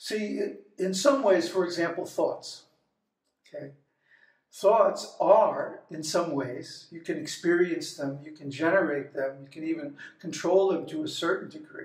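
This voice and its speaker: Speaking at a fairly slow pace, a man with a high pitch and ordinary pitch variation swings widely in loudness amid audible room echo. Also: quiet background. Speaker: spiritual teacher. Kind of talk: lecture. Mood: relaxed, humorous. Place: home room. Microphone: phone near.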